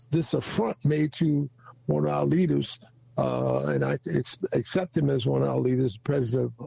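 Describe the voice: Dark, mellow tone with vocal fry and a slightly husky edge. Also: man.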